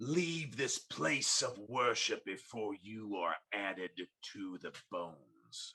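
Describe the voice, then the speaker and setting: A man's put-on character voice, growling at a medium pitch with lively intonation, at a very slow pace with hardly any pauses. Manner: snarling, menacing.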